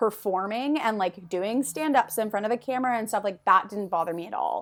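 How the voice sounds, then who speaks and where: A woman with a Canadian accent, fairly high in pitch, at a fairly quick pace with ordinary pitch variation. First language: French. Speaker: former TV reporter. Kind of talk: casual chat.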